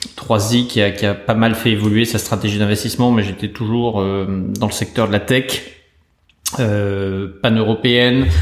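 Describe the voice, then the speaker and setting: Fairly low in pitch, a man speaks at a fairly slow pace in a monotone, flat intonation. His loudness stays very even throughout. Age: 40s. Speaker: venture capital investor. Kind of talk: interview. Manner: halting with repeated words.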